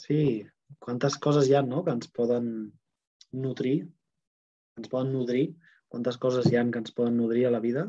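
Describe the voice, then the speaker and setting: Speaking at a moderate pace against a quiet background, a man uses fairly even intonation and leaves long, frequent pauses. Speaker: Access Bars facilitator and host. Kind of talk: online group talk. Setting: video call with live chat. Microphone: earbuds.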